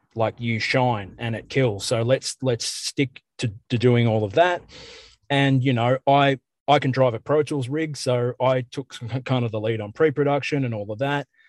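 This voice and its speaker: At a moderate pace, a man talks with an Australian accent at medium pitch and fairly even intonation. The sound is dry and close with no echo, over a quiet background. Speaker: metal band musician. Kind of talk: casual interview. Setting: in a car.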